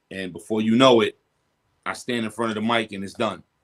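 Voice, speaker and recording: A man speaks at medium pitch in a New York accent. His intonation is fairly even, and the sound is dry and close with no echo. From Brooklyn, New York. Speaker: rapper. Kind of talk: interview.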